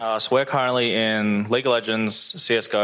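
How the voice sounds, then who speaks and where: Talking at a moderate pace, a man uses a medium-pitched voice with a bright, sharp tone. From grew up outside Australia. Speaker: esports club founder. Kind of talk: live panel discussion. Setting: stage with audience.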